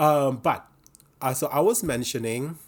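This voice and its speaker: A man with an Indonesian accent speaks with ordinary pitch variation on a very clean recording with a silent background. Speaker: knitting podcaster. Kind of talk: casual video podcast chat. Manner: hesitant, many fillers.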